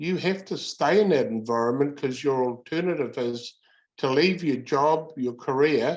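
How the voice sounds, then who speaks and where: At a moderate pace, a man with a New Zealand accent talks in a fairly high voice with ordinary pitch variation against a quiet background. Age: 70s. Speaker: workplace bullying advocate. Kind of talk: interview. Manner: halting.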